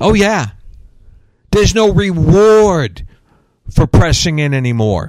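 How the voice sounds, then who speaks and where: Speaking at a very slow pace with long, frequent pauses, a man uses a high pitch with very wide pitch swings. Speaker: radio host and preacher. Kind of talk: angry rant: conspiracy-laden sermon against wokeism and a 'satanic' global system. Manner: fired-up, ranting, sarcastic, preachy; casual and joking.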